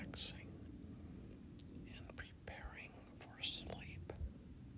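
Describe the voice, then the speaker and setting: A calm whisper comes through over noticeable background noise. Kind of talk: sleep affirmation whisper. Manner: whispered, slow, calm.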